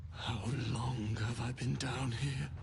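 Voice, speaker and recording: Over loud background noise, a man puts on a character voice at a medium pitch. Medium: video game.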